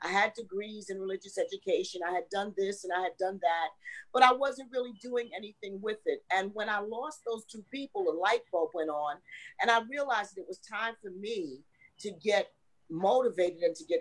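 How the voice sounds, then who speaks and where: A woman speaks in a normal speaking voice at medium pitch and a moderate pace. Her intonation is lively, and her loudness swings widely. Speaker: minister and coach. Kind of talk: casual panel chat.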